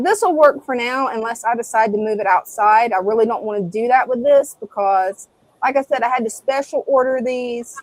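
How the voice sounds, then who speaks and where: In an American accent, a woman talks at a fairly quick pace with a high pitch. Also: ordinary pitch variation. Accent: Southern US accent, toned down. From US South. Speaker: live stream co-host. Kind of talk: casual live stream chat.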